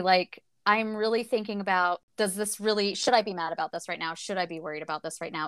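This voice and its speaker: In a very clean recording with a silent background and a dry, close sound with no echo, a woman with an American accent speaks in a bright, sharp tone. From United States. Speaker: book podcast co-host. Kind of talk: casual chat.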